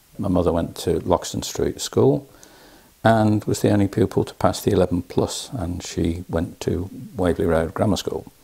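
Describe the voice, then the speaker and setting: A man with a very deep, low pitch speaks in a dark, mellow, somewhat breathy voice with ordinary pitch variation. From Birmingham. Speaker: retired telephone manager. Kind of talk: interview answer.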